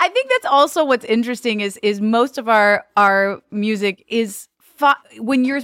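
A woman speaks in an ordinary speaking voice, fairly high-pitched, with lively intonation and a fairly slow pace. The recording is very clean and dry, close with no echo, over a silent background. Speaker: comedic performer and singer. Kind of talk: casual chat. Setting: studio.

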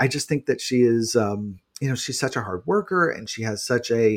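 This man has an ordinary speaking voice of medium pitch, with lively intonation and an American accent. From New York City. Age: 40s. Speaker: journalist and author. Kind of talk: casual interview. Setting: remote recording from apartment.

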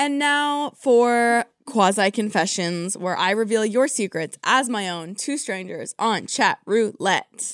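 A woman speaks very slowly, with hardly any pauses, in an American accent, her fairly high voice carrying lively intonation. The recording is very clean, dry and close, with no echo and a silent background. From California. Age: 20s. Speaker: podcast host. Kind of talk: casual chat.

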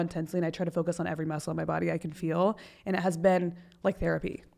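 This woman's voice sits fairly low, with vocal fry and a monotone, flat intonation. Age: 20s. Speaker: podcast guest. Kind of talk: casual chat. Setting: in person.

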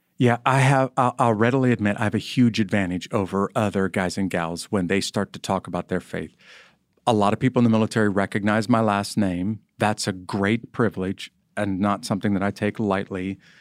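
A man with an unremarkable speaking voice and an American accent talks at a fairly quick pace and fairly low pitch with fairly even intonation, in a very clean recording with a silent background and a dry, close sound with no echo. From rural US small farm community. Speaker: army chaplain and author. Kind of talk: interview conversation.

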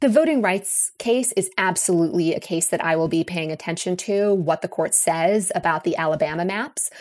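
A plain, everyday voice from a woman at medium pitch, moderate in pace with hardly any pauses and ordinary pitch variation, in a very clean recording with a silent background. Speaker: law professor. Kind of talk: interview.

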